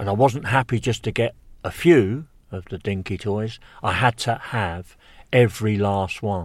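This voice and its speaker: With an English accent, a man speaks at a fairly low pitch and a fairly slow pace with ordinary pitch variation, on a very clean recording with a silent background. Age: 60s. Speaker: birdwatcher. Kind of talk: casual chat. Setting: outdoors.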